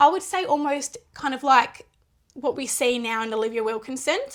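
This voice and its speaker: Speaking loudly at a moderate pace, a woman with an Australian accent uses a high pitch. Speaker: netball podcast host. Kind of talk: casual sports chat.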